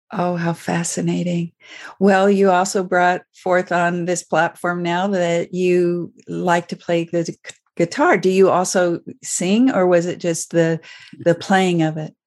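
Flat, monotone intonation at a fairly slow pace. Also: woman, fairly low pitch for a woman, quiet background. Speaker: podcast host psychologist. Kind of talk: interview conversation.

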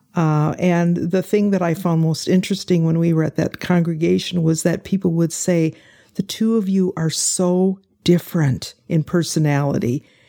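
A woman with a Midwestern American accent speaks at a moderate pace in a fairly low, dark, mellow voice. Her loudness stays very even, and her intonation is fairly even. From Indiana (Fort Wayne). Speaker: retired pastor. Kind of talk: interview.

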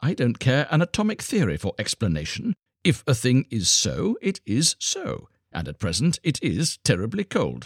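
On a very clean recording with a silent background and a dry, close sound with no echo, a man puts on a character voice at medium pitch with a slightly husky edge, moderate pace and very wide pitch swings.

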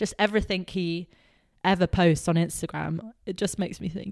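A woman speaks at a fairly slow pace with an English accent. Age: 20s. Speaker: podcast co-host. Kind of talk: casual chat. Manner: animated.

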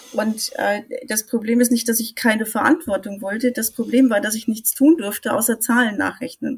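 This woman has a normal speaking voice, pitched fairly high. She talks at a moderate pace with fairly even intonation. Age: 50s. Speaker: IT consultant. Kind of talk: casual chat.

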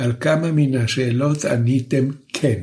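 Speaking at a very slow pace, a man sounds somewhat breathy, with a fairly high pitch and ordinary pitch variation. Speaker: professor, lecturer. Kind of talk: lecture. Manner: slow, deliberate.

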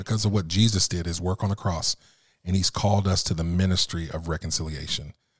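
A man's very deep, low voice, somewhat breathy and fairly even in intonation, in a dry, close recording with no echo, very clean with a silent background. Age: 50s. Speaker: minister and chaplain. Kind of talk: casual chat.

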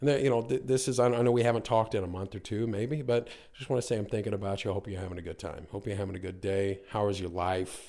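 A man with an American accent talks at a very fast pace. His medium-pitched voice has a dark, mellow tone and ordinary pitch variation. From US, North Carolina. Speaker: business owner in real estate/mortgage field. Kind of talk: casual interview. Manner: halting, many fillers and repetitions.

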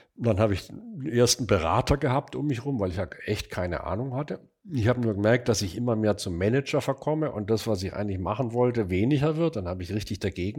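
Very fast speech with hardly any pauses, on a very clean recording with a silent background. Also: man. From Stuttgart, southwestern Germany. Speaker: furniture designer and manufacturer. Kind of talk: casual interview conversation. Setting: in person at an old country house office.

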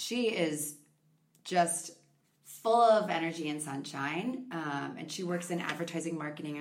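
Speaking at a moderate pace in a room with audible echo, a woman with an Upper Midwest accent uses a fairly low pitch and ordinary pitch variation. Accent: Upper Midwest American. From Minnesota (Victoria, near Chaska). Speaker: podcast guest. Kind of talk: casual interview.

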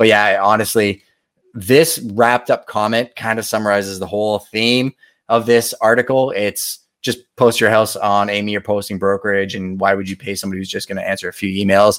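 A man speaks at a fairly quick pace in a normal speaking voice, his pitch fairly low. His intonation stays fairly even, and the recording is very clean with a silent background. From Montreal, Quebec, Canada. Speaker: realtor and show host. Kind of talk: live-stream reaction commentary. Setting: live stream. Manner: casual, conversational.

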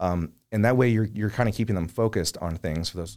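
Someone speaks at a very fast pace with an American accent and ordinary pitch variation, on a very clean recording with a silent background. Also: man. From St. Louis, Missouri (Oakville). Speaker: pet-care business owner. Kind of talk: interview. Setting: studio.

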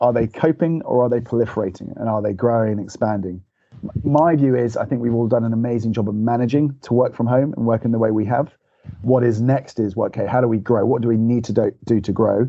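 Very fast male speech with fairly even intonation. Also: medium pitch for a man. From Liverpool, England. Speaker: head of marketing. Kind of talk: podcast interview.

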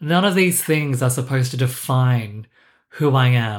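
Ordinary pitch variation runs through a man's somewhat breathy voice at a moderate pace. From Singapore, raised in Australia. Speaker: podcast host. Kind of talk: scripted solo podcast intro, personal monologue. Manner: self-deprecating, wry, conversational.

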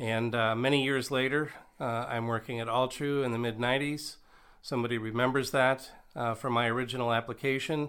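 In an American accent, a man talks at a fairly quick pace with monotone, flat intonation. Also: medium pitch for a man. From Nebraska. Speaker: physician and medical professor. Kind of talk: interview. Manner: polished broadcaster delivery.

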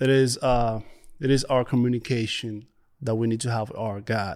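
On a very clean recording with a silent background, a man with a Spanish accent speaks with fairly even intonation. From Dominican Republic. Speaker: church prayer ministry leader. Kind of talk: interview testimony. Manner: halting, many fillers.

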